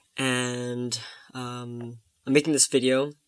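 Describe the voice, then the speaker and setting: Male speech at medium pitch, its intonation monotone and flat. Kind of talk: video diary. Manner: halting.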